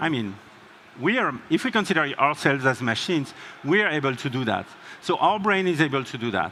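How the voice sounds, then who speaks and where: The pitch swings very widely at a fairly quick pace. Background noise is noticeable. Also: man, fairly high pitch for a man. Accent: strong French. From France. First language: French. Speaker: tech company co-founder, keynote speaker. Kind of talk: conference keynote.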